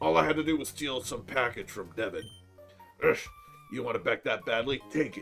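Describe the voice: Over clear music in the background, a man performs a put-on character voice at a medium pitch, talking at a fairly quick pace with lively intonation and long, frequent pauses.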